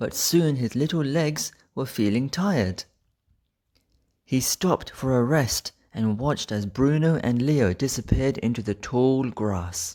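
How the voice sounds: A man with a medium pitch and slightly mellow tone speaks slowly with lively intonation.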